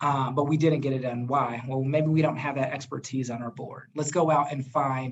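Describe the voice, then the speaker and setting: Fairly high, somewhat breathy male voice, fairly quick pace and fairly even intonation. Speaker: nonprofit executive director. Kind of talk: presentation in webinar. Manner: fast.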